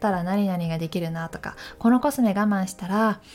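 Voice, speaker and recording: A woman's medium-pitched voice with lively intonation, a moderate pace, and music in the background. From Gifu Prefecture, Takayama (central Japan). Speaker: model and MC/narrator hosting a personal audio channel. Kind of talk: casual solo talk. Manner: friendly, conversational with frequent fillers.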